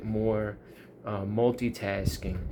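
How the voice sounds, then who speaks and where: In a New York accent, a man with a fairly low pitch speaks in a dark, mellow tone with monotone, flat intonation. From US, Long Island, New York. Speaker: YouTuber. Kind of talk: casual monologue.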